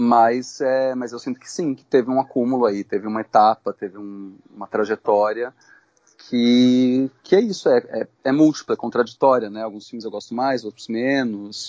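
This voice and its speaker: The pace is moderate. Loudness rises and falls in big swings. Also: man, medium pitch for a man, ordinary pitch variation. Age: 40s. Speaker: filmmaker. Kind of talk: interview. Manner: halting.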